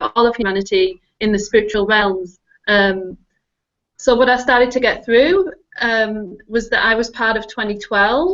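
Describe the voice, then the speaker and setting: Pitched fairly high, a woman speaks with a strong northern English accent. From northern England. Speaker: technology consultant and spiritual guide. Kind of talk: casual interview chat.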